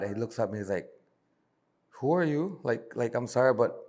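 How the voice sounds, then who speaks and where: Vocal fry runs through a man's medium-pitched voice. He talks at a fairly quick pace with lively intonation. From Belize, Benque Viejo del Carmen. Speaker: bar owner. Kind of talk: podcast interview answer. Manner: casual storytelling.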